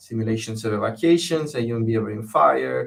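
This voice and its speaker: A man talks at a very fast pace in an Italian accent. His voice is medium in pitch and somewhat breathy. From southern Italy (Bari). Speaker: fire safety researcher, professor. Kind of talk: interview. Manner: hesitant, many fillers.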